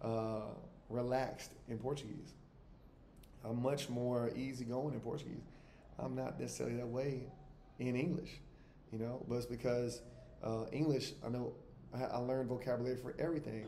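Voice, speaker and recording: A man at a moderate pace with long, frequent pauses and fairly even intonation, amid noticeable background noise and audible room echo. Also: medium pitch for a man. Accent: American. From US South, Alabama. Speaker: travel vlogger, expat. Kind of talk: casual monologue to camera. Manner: conversational, with frequent fillers and repetitions.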